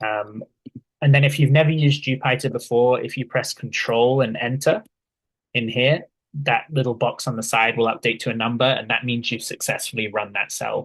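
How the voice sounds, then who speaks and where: Against a quiet background, a man speaks at a moderate pace, somewhat breathy, with fairly even intonation. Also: medium pitch for a man. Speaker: workshop instructor. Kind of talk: tutorial. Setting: video call.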